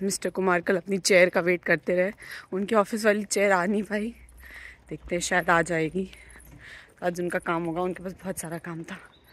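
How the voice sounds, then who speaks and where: A woman's fairly low voice, fairly slow and fairly even in intonation, with a dry sound and no echo. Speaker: vlogger. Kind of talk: casual vlog chat. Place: street. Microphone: phone near.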